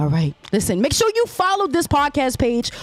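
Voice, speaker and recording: With music in the background, a woman speaks in an animated tone at a moderate pace. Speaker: podcast host. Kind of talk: casual chat.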